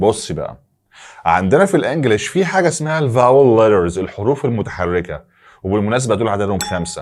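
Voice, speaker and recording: A man with an Egyptian accent, medium pitch, very wide pitch swings and a moderate pace, on a very clean recording with a silent background. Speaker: English teacher. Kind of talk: tutorial. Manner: animated.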